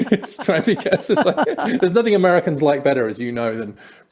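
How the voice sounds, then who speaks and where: With an English accent, a man talks at a fairly quick pace. His pitch swings very widely. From England, Peterborough. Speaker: podcast host. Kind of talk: interview conversation.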